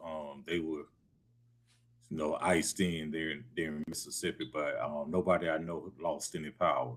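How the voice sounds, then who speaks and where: A man speaks with a Southern US accent. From Atlanta, Georgia. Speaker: show co-host. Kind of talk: casual chat.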